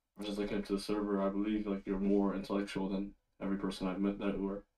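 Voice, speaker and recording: A man speaks quietly at a fairly low pitch. His tone is dark and mellow. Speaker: caller. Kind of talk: call-in debate. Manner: quiet, hard to understand; hesitant, filler-heavy.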